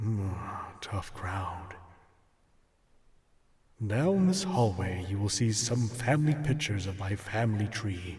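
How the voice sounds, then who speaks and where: Putting on a character voice, a man speaks at a fairly slow pace and a fairly low pitch. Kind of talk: ASMR role play. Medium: audio drama. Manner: deadpan.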